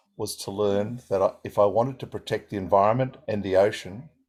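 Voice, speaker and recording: Here a man speaks with an Australian accent and a fairly low pitch. His pitch variation is ordinary. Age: 60s. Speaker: environmental scientist. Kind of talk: seminar talk with consecutive interpretation. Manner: short segments, pausing for interpreter.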